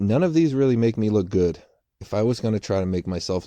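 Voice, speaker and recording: A man with a dark, mellow tone and ordinary pitch variation at a very fast pace, in dry, close sound with no echo against a quiet background. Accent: American. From Boston, US. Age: 30s. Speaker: writer and storyteller youtuber. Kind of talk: casual storytime monologue. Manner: unscripted, hesitant with fillers and repetitions.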